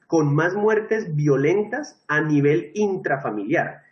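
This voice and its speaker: The speaker is a man. His pitch is fairly high. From Colombia. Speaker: teacher. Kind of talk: lecture.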